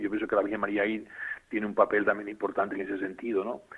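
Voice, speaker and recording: The speaker is a man with a fairly low pitch. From Canary Islands, La Palma. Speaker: bishop. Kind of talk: interview.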